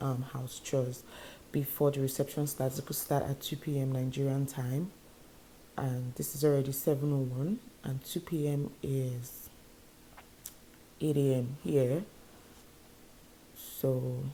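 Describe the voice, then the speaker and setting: Very deep and low in pitch for a woman, her voice is somewhat breathy with a dark, mellow tone. She speaks at a fairly slow pace with long, frequent pauses. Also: fairly even intonation. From Nigeria. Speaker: YouTuber, vlogger. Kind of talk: casual vlog to camera.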